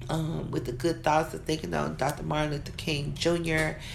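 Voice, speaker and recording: A woman's voice with audible room echo. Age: 30s. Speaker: minister. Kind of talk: sermon.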